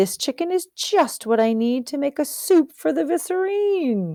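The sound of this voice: Using a put-on character voice, a woman speaks at a high pitch with big pitch swings and a dark, mellow tone. Her pace is fairly slow, and the sound is dry and close with no echo.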